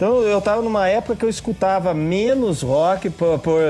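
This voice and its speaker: Music plays in the background as a high-pitched man talks at a moderate pace with ordinary pitch variation. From interior of São Paulo state, Brazil (Piracicaba). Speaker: brewmaster and drummer. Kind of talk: podcast interview.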